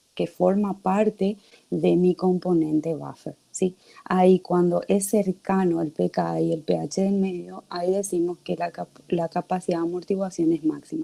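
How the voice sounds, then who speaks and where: The sound is dry and close with no echo as a woman talks at a fairly slow pace. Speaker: teaching assistant. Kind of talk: online class lecture.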